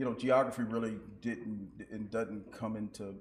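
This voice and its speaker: There is audible room echo around a man's voice. He speaks at a moderate pace with a fairly low pitch. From Nashville, Tennessee. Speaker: school superintendent. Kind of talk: interview. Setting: stage with audience. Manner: halting.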